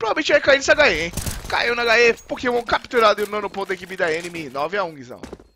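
A man speaks at a very fast pace in a raised, projected voice, high in pitch with very wide pitch swings. His loudness rises and falls sharply. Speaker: match caster. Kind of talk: live esports play-by-play commentary. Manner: fast, excitable, rapid-fire play-by-play.

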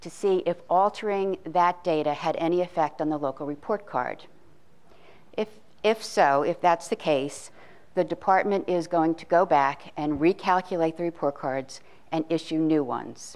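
Moderate pace and ordinary pitch variation in an ordinary speaking voice. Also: woman. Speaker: education data expert. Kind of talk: presentation. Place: hall. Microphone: handheld.

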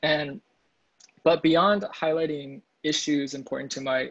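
A man talks with an American accent and fairly even intonation. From US Midwest, Kansas City; Missouri. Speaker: composer; composer in panel discussion. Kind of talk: casual chat. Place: home room. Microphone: earbuds.

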